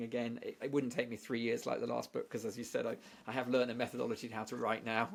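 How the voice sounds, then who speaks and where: He talks at a very fast pace. The man has a British accent. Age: 60s. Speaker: statistician and author. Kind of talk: podcast interview. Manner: halting with many repeated words.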